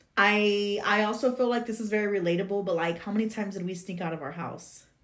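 With an animated tone, a woman talks at a fairly quick pace in a medium pitch with ordinary pitch variation. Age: 30s. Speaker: podcast co-host. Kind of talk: casual chat.

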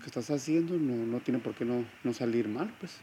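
At a fairly quick pace, a man talks in an ordinary speaking voice at a medium pitch. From Tijuana, Baja California, Mexico. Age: 30s. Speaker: strength and conditioning coach, gym owner. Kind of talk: interview.

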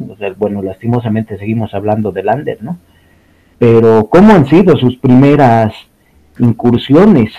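Speaking at a moderate pace and medium pitch, a man has a dark, mellow tone, ordinary pitch variation, and big swings in loudness. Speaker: podcast co-host. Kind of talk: casual chat.

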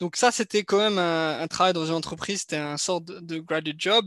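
The delivery is at a moderate pace with fairly even intonation, recorded with a dry, close sound with no echo against a quiet background. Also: man. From France, Strasbourg (Alsace). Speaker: business development professional and content creator. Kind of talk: interview. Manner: hesitant, many fillers.

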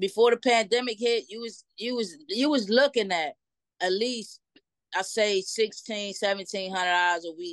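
In an ordinary speaking voice, a woman talks at a moderate pace and a fairly high pitch, with ordinary pitch variation and big swings in loudness. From Trenton, New Jersey. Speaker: truck driver. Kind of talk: casual interview.

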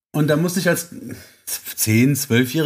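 In a very clean recording with a silent background, a somewhat breathy man speaks at a moderate pace with lively intonation. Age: 30s. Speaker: carpentry apprentice and guest co-host. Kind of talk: casual chat.

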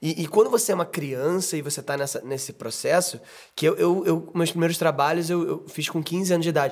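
A man talks at a fairly quick pace in a high voice. His pitch varies an ordinary amount. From Brazil, Rio de Janeiro. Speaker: podcast host and actor. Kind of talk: casual chat.

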